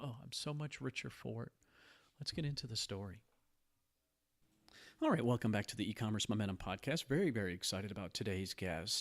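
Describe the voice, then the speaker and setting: On a very clean recording with a silent background, a man with a fairly low pitch talks at a fairly quick pace in a calm, soothing tone, with lively intonation and long, frequent pauses. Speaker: podcast host.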